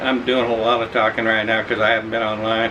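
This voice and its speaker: Someone talks with an American accent against noticeable background noise. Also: man. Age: 60s. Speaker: expat vlogger. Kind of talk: casual chat. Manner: halting.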